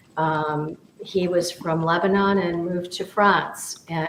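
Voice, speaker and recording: Against noticeable background noise, a woman with an American accent speaks at a very slow pace in a fairly low pitch with fairly even intonation. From US Midwest, near Detroit, Michigan. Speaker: business mentor and teacher. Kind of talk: casual discussion. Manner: halting, many repetitions.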